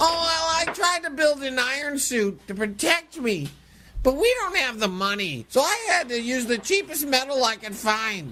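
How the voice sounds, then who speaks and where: In a put-on character voice, a female-sounding speaker uses a high pitch at a moderate pace. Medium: comedy sketch. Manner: earnest, naive.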